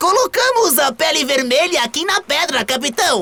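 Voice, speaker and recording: This is a put-on character voice with a high pitch. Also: moderate pace. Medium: read story.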